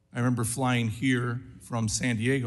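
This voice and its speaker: A man speaks at a medium pitch in a somewhat breathy voice, with audible room echo. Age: 60s. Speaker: congressman. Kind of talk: congressional hearing questioning. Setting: committee hearing room. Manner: animated.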